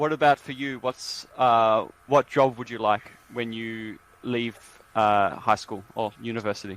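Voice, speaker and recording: Speaking in an Australian accent at a fairly slow pace, the voice keeps a fairly even intonation while its loudness swings widely. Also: man, medium pitch for a man. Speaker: English teacher. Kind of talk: casual chat.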